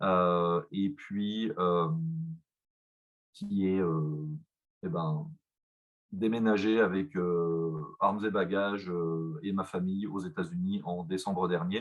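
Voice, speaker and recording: Very slow speech with long, frequent pauses and ordinary pitch variation. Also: man, very deep, low pitch for a man. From France, Besançon. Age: 30s. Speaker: company executive. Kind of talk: presentation. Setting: video call. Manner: halting, many fillers.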